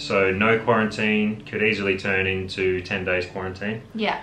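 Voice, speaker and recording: Against clear music in the background and audible room echo, a man with a fairly low voice speaks at a fairly slow pace in monotone, flat intonation. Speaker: travel vlogger. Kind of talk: casual vlog chat. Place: home room.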